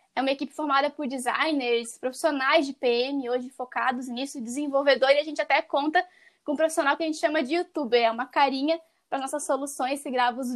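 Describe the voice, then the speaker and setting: A woman talks very fast at a high pitch with fairly even intonation, on a very clean recording with a silent background. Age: 20s. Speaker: product marketing professional. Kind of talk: podcast interview.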